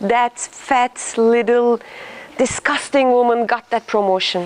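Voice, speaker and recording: At a very slow pace, a woman with a high pitch keeps her intonation fairly even over noticeable background noise. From Turkey. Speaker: leadership trainer. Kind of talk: interactive workshop talk. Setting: room with live audience.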